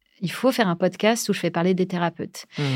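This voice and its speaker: Here a woman speaks with a fairly low pitch. The recording is very clean, with total silence behind her. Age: 40s. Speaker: podcast creator. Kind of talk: casual interview chat. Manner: hesitant with many fillers and repetitions.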